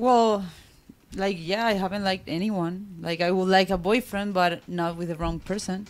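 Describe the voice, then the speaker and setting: A woman speaks in an ordinary speaking voice at a medium pitch. Her intonation is fairly even and her pace moderate. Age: 30s. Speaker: panel guest. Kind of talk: casual panel debate. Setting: studio.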